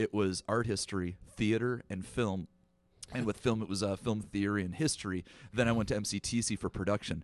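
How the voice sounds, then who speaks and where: In a dry, close sound with no echo, a man with an American accent and an unremarkable speaking voice talks at a fairly quick pace, his pitch fairly low and his intonation fairly even. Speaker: film director and producer. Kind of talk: casual chat. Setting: round table, recorded in person. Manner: talkative, jokey.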